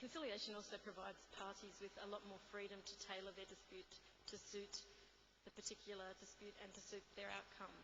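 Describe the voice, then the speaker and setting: A woman with an Australian accent speaks at a fairly quick pace in a medium pitch. Her intonation is monotone and flat, and room echo is audible. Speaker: conference speaker, UN trade law officer. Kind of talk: conference talk. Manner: fast; halting, many fillers.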